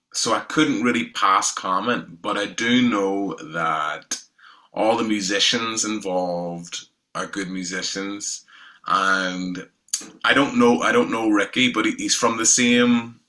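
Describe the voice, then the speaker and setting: Speaking at a very slow pace, a man with a Northern Irish accent uses a fairly low pitch with ordinary pitch variation. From Northern Ireland, south County Down. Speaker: independent musician. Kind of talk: casual interview chat.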